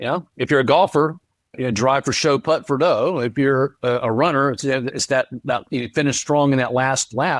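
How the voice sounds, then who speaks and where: On a very clean recording with a silent background and a dry, close sound with no echo, a man with an ordinary speaking voice talks at a moderate pace, fairly high in pitch with ordinary pitch variation. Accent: American. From North Carolina, US South. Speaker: author and speaker. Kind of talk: interview.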